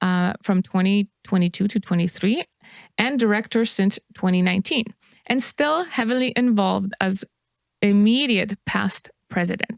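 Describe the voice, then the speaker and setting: On a very clean recording with a silent background, a woman with a non-native accent speaks at a moderate pace in a medium pitch, with ordinary pitch variation, very even loudness and a dry, close sound with no echo. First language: not English. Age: 40s. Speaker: podcast co-host. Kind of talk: reading aloud. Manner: halting.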